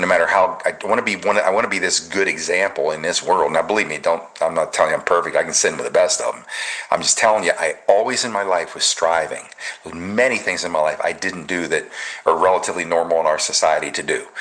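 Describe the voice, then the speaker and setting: Talking very fast, a man comes through with noticeable background noise behind him. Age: 60s. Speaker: patriot commentary show host. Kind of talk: casual chat.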